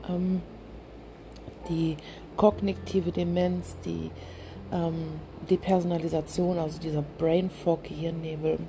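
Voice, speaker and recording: The speaker is a woman who talks very slowly. She leaves long, frequent pauses. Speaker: podcast host with chronic illness. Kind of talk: personal monologue. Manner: halting.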